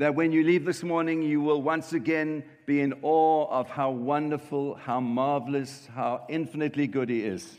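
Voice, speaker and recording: A man with a plain, everyday voice speaks at a moderate pace and fairly high pitch, with hardly any pauses. His intonation is fairly even against a quiet background. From South Africa, Cape Town. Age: 50s. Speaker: pastor. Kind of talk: sermon.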